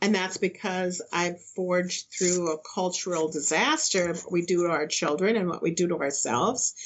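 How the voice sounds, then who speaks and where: A woman's unremarkable speaking voice, fairly low in pitch, with ordinary pitch variation, very even loudness, a moderate pace and hardly any pauses. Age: 60s. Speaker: spiritual teacher and counselor. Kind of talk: interview.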